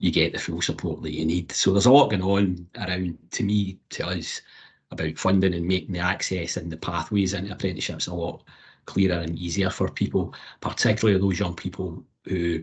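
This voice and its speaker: With a Scottish accent, a man talks at a fairly quick pace in a very deep, low, somewhat breathy voice, his intonation fairly even against a quiet background. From Scotland. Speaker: apprenticeship support advocate. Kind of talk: panel discussion.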